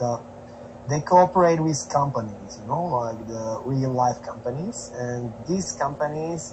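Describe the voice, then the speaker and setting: Over noticeable background noise, a man with a medium pitch talks at a fairly slow pace with ordinary pitch variation. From Slovakia. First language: Slovak. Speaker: traveling musician. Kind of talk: casual chat.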